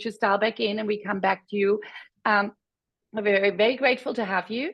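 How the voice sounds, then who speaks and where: A woman with a German accent speaks at a fairly quick pace, her fairly high voice held to a fairly even intonation. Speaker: webinar moderator. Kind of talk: webinar presentation.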